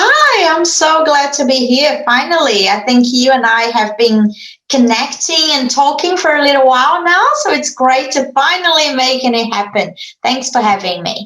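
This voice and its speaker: With a Brazilian accent, a high-pitched woman talks at a moderate pace, her intonation lively. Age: 40s. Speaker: marketing agency founder. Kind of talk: interview.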